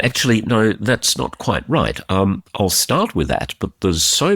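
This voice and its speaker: Fairly slow speech in an Australian accent, with vocal fry. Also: man. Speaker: defence commentary podcast host. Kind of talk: podcast commentary. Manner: casual, conversational.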